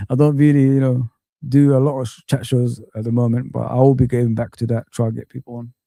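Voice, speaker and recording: In dry, close sound with no echo, a man talks at a very fast pace with a dark, mellow tone, monotone, flat intonation and big swings in loudness. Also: medium pitch for a man. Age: 40s. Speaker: YouTube football streamer. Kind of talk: live stream chat.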